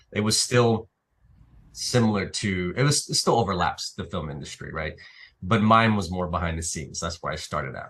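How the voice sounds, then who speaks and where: A man with a very deep, low pitch and lively intonation at a moderate pace against a quiet background. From Naples, Italy. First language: Italian. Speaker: actor and filmmaker. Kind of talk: interview. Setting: live stream show. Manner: halting, many fillers.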